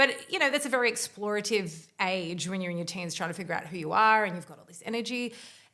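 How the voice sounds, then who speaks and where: A woman of medium pitch talks at a very fast pace with hardly any pauses, a bright, sharp tone, lively intonation and big swings in loudness. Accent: Australian. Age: 40s. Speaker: podcast host. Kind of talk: interview. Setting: in-person studio recording.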